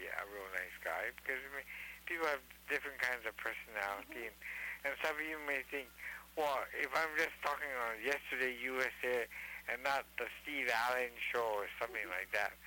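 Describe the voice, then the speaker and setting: A man with a plain, everyday voice talks at a moderate pace. His intonation is lively. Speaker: caller. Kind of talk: casual chat.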